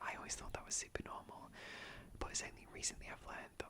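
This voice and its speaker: Very fast whispering from a man amid noticeable background noise. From British. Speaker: ASMR YouTuber. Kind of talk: casual talk to camera, sit-down chat. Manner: whispered, soft-spoken.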